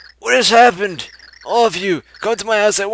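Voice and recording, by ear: Reading aloud in a natural voice with fairly even intonation.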